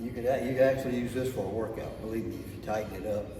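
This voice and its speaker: A man speaks at a medium pitch over music in the background. His intonation stays fairly even. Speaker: fitness coach. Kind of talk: casual talk to camera. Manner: casual, hesitant.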